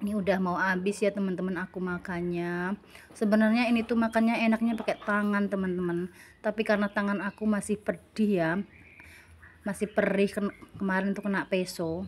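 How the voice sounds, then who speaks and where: A woman talks at a fairly quick pace at a medium pitch. Her intonation is monotone and flat. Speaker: cooking and eating vlogger. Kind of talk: voiceover narration for a cooking and eating vlog. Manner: casual, chatty.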